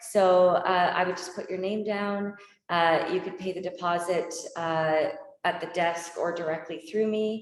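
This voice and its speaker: Fairly low in pitch, a woman speaks with monotone, flat intonation. Her pace is fairly slow, and the room echo is audible. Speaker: yoga teacher trainer. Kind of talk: info session Q&A.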